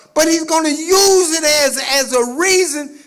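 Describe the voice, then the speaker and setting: A man talks in an animated tone while clear background noise plays behind him. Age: 70s. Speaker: activist speaker. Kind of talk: speech to audience. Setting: stage with audience. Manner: repetitive stammering.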